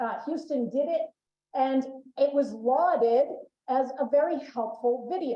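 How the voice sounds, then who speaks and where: In a Boston accent, a woman talks at a fairly slow pace with a high pitch, a dark, mellow tone and fairly even intonation. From Boston, Massachusetts. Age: middle-aged. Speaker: emergency management expert, conference speaker. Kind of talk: conference presentation. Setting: conference room with live and remote audience.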